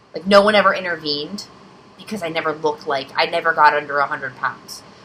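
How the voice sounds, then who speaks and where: A woman speaks with fairly low pitch and ordinary pitch variation. Noticeable background noise is present. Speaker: vlogger. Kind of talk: personal vlog storytelling. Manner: rambling, hesitant.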